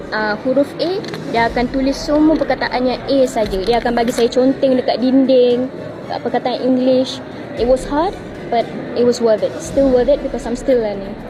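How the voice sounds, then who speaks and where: A woman at a high pitch with ordinary pitch variation and a fairly quick pace, over noticeable background noise. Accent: Malaysian. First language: Malay. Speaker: street interviewee. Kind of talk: street interview. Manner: code-switching Malay and English.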